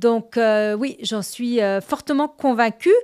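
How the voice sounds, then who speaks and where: On a very clean recording with a silent background, the voice moves at a fairly slow pace with ordinary pitch variation. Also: woman. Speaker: CEO, women's governance advocate. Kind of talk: interview conversation.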